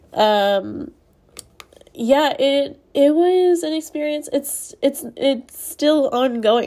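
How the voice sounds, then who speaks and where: On a very clean recording with a silent background, a woman's pitch swings very widely. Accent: American. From Texas (Spring, north of Houston). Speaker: podcast host. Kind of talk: personal monologue podcast.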